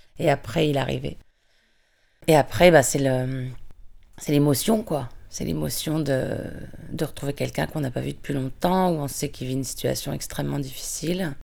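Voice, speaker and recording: Long, frequent pauses break up a woman's speech, which otherwise runs at a moderate pace. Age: 40s. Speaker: prison visitor. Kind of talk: testimony. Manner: halting.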